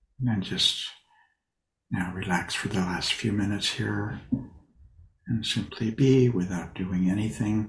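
In a gentle, calm tone that is somewhat breathy, the voice moves at a fairly slow pace with ordinary pitch variation and long, frequent pauses. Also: man, fairly low pitch for a man. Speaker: meditation teacher. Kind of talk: guided meditation. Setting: video call. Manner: slow, calm, soothing; gentle, with long pauses.

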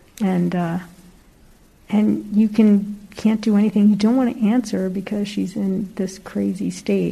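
Somewhat breathy, a woman's voice carries a dark, mellow tone and fairly even intonation. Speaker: class participant. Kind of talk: casual sharing. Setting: in-person class with microphone.

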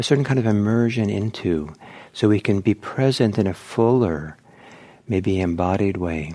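Lively in intonation, a man speaks at a fairly low pitch in a gentle, calm tone that is also dark and mellow. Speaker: meditation teacher. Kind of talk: guided meditation. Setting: talk to live audience at meditation center. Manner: slow, calm, soft-spoken; gentle, unhurried, with pauses.

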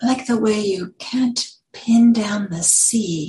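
A woman's somewhat breathy, dark and mellow voice with a playful tone. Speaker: meditation teacher. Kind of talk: poem performed, reading aloud a playful list poem in a light, sing-song, rhythmic cadence. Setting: Buddhist meditation center, talk to a live audience. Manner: playful, rhythmic, with lilting emphasis and pauses between the rhyming lines.

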